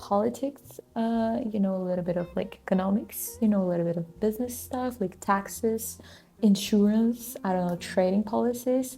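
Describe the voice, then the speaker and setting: Speaking with a non-native accent, a woman has a medium pitch, a dark, mellow and somewhat breathy tone, ordinary pitch variation and a moderate pace. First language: not English. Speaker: vlogger, student and small business owner. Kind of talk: casual vlog talk to camera. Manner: hesitant, many fillers.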